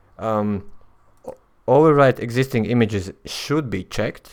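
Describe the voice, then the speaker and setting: A fairly slow delivery in a Latvian accent with ordinary pitch variation. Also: man. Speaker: software developer. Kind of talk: tutorial. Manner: halting, many fillers.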